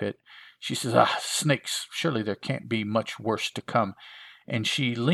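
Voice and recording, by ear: The clip features reading aloud in a natural voice. Its pitch moves up and down in a typical way.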